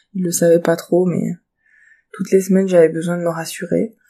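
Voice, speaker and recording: A woman's fairly low, dark and mellow voice with monotone, flat intonation. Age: 30s. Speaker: bereaved mother sharing her story. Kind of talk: personal testimony. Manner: hesitant with frequent fillers.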